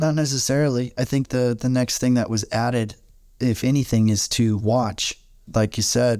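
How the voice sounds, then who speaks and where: At a moderate pace and medium pitch, a man speaks in a dark, mellow tone with fairly even intonation and very even loudness. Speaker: Bible study podcast co-host. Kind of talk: Bible study discussion and prayer. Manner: halting, many fillers.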